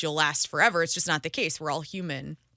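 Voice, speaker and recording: Bright and sharp in tone, a woman's voice sits at a fairly low pitch with ordinary pitch variation. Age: 40s. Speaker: radio host. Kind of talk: interview. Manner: animated.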